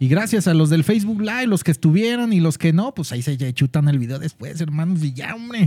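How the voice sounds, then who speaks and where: A man's fairly high-pitched, dark, mellow voice at a fairly quick pace, with very wide pitch swings, hardly any pauses, and a dry, close sound with no echo. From Guadalajara, Mexico. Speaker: online radio show host. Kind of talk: casual interview chat. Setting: studio, streamed live on Facebook.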